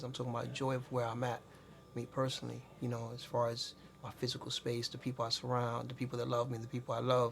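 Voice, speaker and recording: A man speaks very fast at a medium pitch in a flat monotone over noticeable background noise. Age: 40s. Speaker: entrepreneur. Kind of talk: casual interview.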